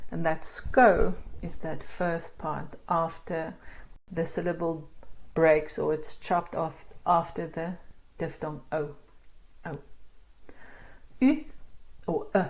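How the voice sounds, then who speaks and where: Very slowly and with long, frequent pauses, a woman speaks at a fairly low pitch, somewhat breathy, her intonation fairly even. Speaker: language teacher. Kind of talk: tutorial.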